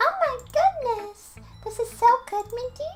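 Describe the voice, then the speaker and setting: A female-sounding voice puts on a squeaky character voice at an extremely high pitch. She talks at a fairly slow pace over music in the background. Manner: excited, enthusiastic.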